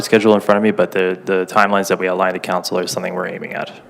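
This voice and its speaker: Very fast and monotone, a man talks in a very deep, low pitch over noticeable background noise. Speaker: municipal general manager. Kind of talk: formal report to council. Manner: halting, hesitant.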